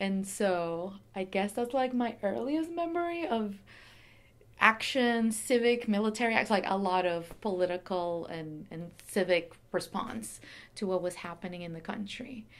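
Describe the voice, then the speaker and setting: A woman's medium-pitched voice in a Venezuelan accent, with lively intonation, a moderate pace and long, frequent pauses. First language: Spanish. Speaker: curator, former human rights lawyer. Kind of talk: oral history interview. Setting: pop-up story booth at exhibition reception.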